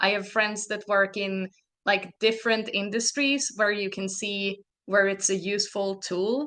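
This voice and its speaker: Against a quiet background, a woman speaks in a Swedish accent at a medium pitch with a bright, sharp tone. Her pace is fairly slow and her intonation fairly even. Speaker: narrative designer and game developer. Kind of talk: podcast interview.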